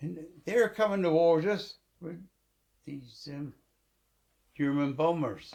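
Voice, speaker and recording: A man with a high pitch talks at a very slow pace, his intonation lively. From England. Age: 80s+. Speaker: war veteran. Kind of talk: interview answer.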